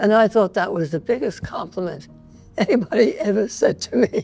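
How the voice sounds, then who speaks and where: With music in the background, a woman in a New York accent speaks with very wide pitch swings. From New York (Bronx). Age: 80s+. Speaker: painter. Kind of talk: interview answer.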